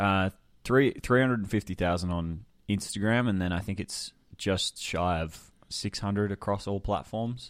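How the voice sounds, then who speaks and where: The recording is very clean with a silent background, and a man speaks with an Australian accent at a moderate pace. His pitch is fairly low, with ordinary variation. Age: 20s. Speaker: creative business coach. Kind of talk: casual interview chat.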